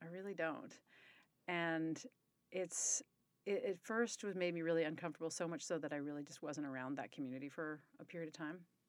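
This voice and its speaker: This woman has a plain, everyday voice at a fairly low pitch. Her pitch varies in an ordinary way, in a very clean recording with a silent background. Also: fairly quick pace. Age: 40s. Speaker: company executive. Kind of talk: casual interview conversation.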